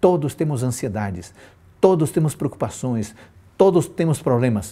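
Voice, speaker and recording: Dark and mellow in tone, a man's somewhat breathy, medium-pitched voice moves at a fairly slow pace through very wide pitch swings. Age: 50s. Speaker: pastor. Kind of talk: sermon. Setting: live stream.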